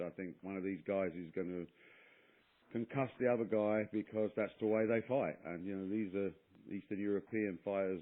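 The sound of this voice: Intonation stays fairly even at a moderate pace. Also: man.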